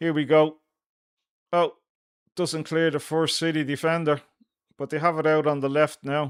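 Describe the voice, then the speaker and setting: The speaker is a man with a fairly high pitch. His intonation is monotone and flat. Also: very clean recording, silent background. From Ireland. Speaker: football fan channel host. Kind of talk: live watchalong commentary.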